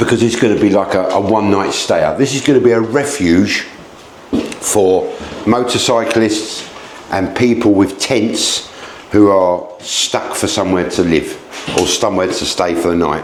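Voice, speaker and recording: Loud and animated, a man with an English accent speaks at a fairly low pitch and moderate pace with ordinary pitch variation and long, frequent pauses, amid noticeable background noise and audible room echo. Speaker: B&B owner giving a home tour. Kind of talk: casual video tour. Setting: outdoors then indoors, rain starting.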